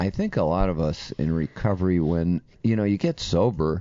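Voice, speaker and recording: A man's very deep, low voice shows ordinary pitch variation and moves at a moderate pace. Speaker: podcast co-host. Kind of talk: casual chat.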